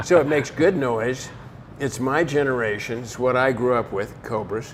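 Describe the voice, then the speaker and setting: At a moderate pace, a man talks at a medium pitch with ordinary pitch variation over noticeable background noise. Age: 80s+. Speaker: car collector. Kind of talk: casual chat.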